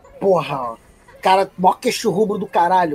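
Over noticeable background noise, a man talks at a very slow pace in a high pitch with ordinary pitch variation. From Rio de Janeiro, Brazil (Praça Seca). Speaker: podcast guest. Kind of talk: casual chat.

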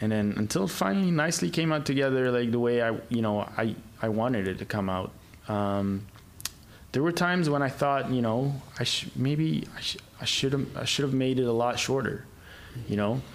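A man at medium pitch with lively intonation, long and frequent pauses, moderate pace, very even loudness and audible room echo. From Egypt. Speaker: independent filmmaker. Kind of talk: casual chat. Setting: studio.

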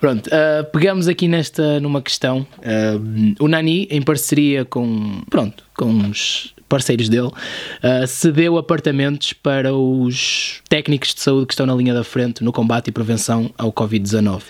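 At a fairly slow pace with hardly any pauses, a man talks in an ordinary speaking voice at medium pitch, with ordinary pitch variation. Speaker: podcast host, YouTuber. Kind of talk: casual chat.

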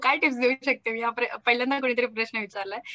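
The woman's voice is high-pitched with a bright, sharp tone and ordinary pitch variation. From Maharashtra, India. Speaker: content creator, comedy video maker. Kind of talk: casual interview.

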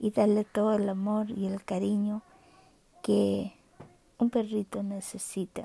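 A woman speaks at medium pitch in a monotone, flat intonation, at a very slow pace with long, frequent pauses. The sound is dry and close with no echo. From Chile. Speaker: podcaster, guide dog user. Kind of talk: personal monologue. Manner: halting.

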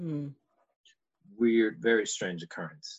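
He is a man with an American accent and a plain, everyday voice, speaking at a medium pitch with lively intonation. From Texas, Houston. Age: 20s. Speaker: actor. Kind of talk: casual chat. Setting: video call.

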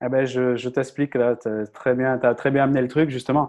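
A man's normal speaking voice at medium pitch, fairly quick and fairly even in intonation, over a quiet background. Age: 30s. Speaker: content creator and communication coach. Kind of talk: interview.

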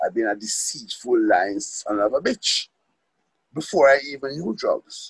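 A man at a moderate pace, captured with a dry, close sound and no echo. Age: 60s. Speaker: recovery meeting speaker. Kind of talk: testimony. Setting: phone call. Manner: halting.

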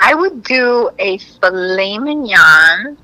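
Against noticeable background noise, a woman with a high pitch makes very wide pitch swings. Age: 40s. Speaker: comedian. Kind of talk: casual chat.

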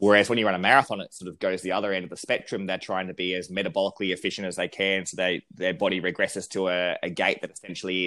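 A man with a very deep, low pitch speaks very fast in a monotone, flat delivery. His tone is bright and sharp, and the recording is very clean with a silent background. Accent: Australian. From South Australia (country town). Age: 30s. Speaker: running researcher and lecturer. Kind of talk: casual interview.

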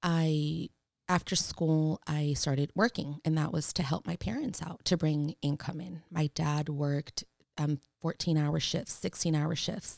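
With a Spanish accent, a woman speaks at a fairly slow pace in a very deep, low pitch with fairly even intonation. The recording is very clean with a silent background and a dry, close sound with no echo. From San Francisco, Mission District. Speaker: social worker and small business owner. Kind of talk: casual interview.

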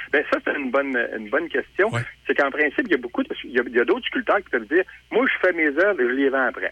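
A man speaks with a Quebec accent. His pace is fairly quick. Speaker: sculptor. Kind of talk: interview.

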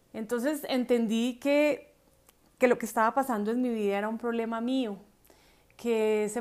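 A woman speaks in a normal speaking voice at a fairly high pitch. Her pace is moderate and her intonation fairly even. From Colombia. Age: 40s. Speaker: podcast host. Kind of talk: personal storytelling.

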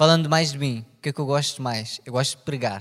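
Here a man talks with a European Portuguese accent. His pace is moderate. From Portugal. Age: 20s. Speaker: podcast co-host. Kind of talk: casual chat.

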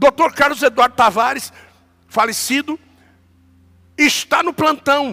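Raised and projected, a man's voice reaches an extremely high pitch with ordinary pitch variation and a bright, sharp tone, in a dry, close sound with no echo. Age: 50s. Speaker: pastor. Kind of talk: sermon.

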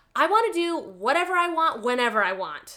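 This put-on character voice runs at a fairly quick pace with very wide pitch swings. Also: woman, high pitch for a woman. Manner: bratty, defiant.

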